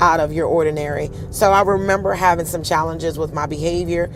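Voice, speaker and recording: A woman with an American accent speaks at a fairly quick pace in a husky, fairly low voice. Audible room echo and noticeable background noise fill the recording. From Pennsylvania (Harrisburg). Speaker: show host and singer. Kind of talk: personal storytelling. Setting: livestream.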